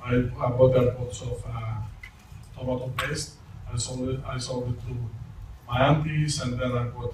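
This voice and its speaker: A man with a non-native accent speaks at a moderate pace and medium pitch in monotone, flat intonation, leaving long, frequent pauses amid noticeable background noise and audible room echo. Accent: foreign accent, non-native English. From Malta. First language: not English (English is third language). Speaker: network marketing presenter. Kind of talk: testimony. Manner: halting.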